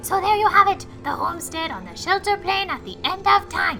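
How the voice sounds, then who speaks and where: A put-on character voice. Clear music plays in the background. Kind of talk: comic overacting. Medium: game stream. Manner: grandiose, theatrical.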